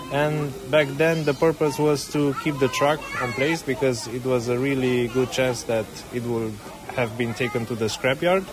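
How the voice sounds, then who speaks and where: A man speaks at a moderate pace in a Romanian accent, his pitch medium and his intonation fairly even. Noticeable background noise runs behind him. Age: young. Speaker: filmmaker and railway volunteer. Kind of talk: interview.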